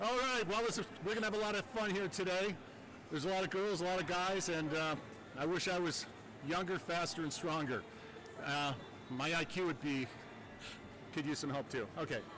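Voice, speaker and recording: The speaker moves at a fairly quick pace with long, frequent pauses, ordinary pitch variation and very even loudness over noticeable background noise. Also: man, high pitch for a man. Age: 60s. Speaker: pole vault official. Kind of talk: casual chat.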